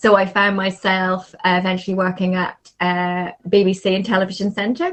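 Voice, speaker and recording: With a Northern Irish accent, a woman speaks at a medium pitch and a moderate pace in a monotone, flat intonation. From Northern Ireland. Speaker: marketing agency founder. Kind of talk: podcast interview.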